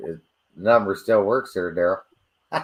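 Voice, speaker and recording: This man takes a fairly slow pace. The background is silent, making for a very clean recording. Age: 50s. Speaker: model railroad hobbyist. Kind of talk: casual chat.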